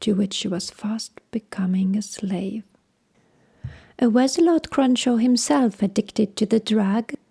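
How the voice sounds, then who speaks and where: Calm and somewhat breathy, a woman's medium-pitched voice has a dark, mellow tone, ordinary pitch variation and a fairly slow pace, recorded dry and close with no echo. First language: not English. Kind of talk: audiobook narration of a crime story. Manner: calm, relaxing.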